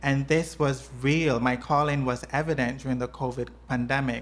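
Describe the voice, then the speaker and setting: A woman speaks at a moderate pace in a very deep, low voice with vocal fry. Her intonation stays flat and monotone. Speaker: nurse. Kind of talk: personal testimony. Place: home room.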